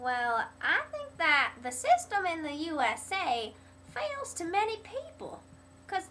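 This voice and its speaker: With an American accent, a woman projects a raised voice at extremely high pitch with very wide pitch swings. Noticeable background noise is present. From US South, North Carolina/Virginia. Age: 70s. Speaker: interviewee. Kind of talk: interview answers.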